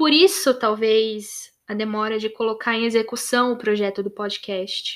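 A woman with an unremarkable speaking voice talks at a fairly slow pace with hardly any pauses, her fairly high pitch showing ordinary variation. The recording is very clean, with a silent background. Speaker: podcast host. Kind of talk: monologue.

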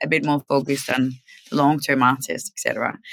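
A woman's very deep, low voice with a bright, sharp tone, in a Danish accent. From Denmark. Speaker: record label executive. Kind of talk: casual interview. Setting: live stream.

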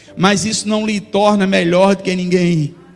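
A man's high voice at a moderate pace, fairly even in intonation, over noticeable background noise. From Brazil, not Bahia. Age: 40s. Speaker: pastor. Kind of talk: sermon. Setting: church.

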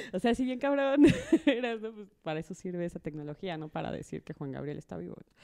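In a Mexican accent, a woman talks at a very fast pace, her fairly low pitch and dark, mellow tone marked by very wide pitch swings. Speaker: guest co-host. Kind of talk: casual chat.

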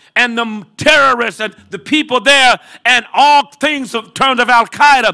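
In an American accent, a man with an extremely high pitch speaks fairly slowly in a raised, projected voice, his tone animated, bright and sharp. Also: very clean recording, silent background. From Detroit, US Midwest. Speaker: Baptist preacher. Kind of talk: sermon. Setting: stage with audience.

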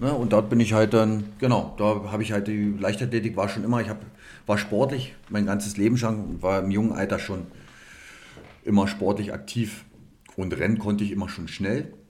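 Audible room echo surrounds a man with a fairly low pitch who talks at a moderate pace with fairly even intonation. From Cottbus, Lusatia, eastern Germany. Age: 30s. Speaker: personal trainer and former bodybuilder. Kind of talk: interview conversation. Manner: hesitant, many fillers.

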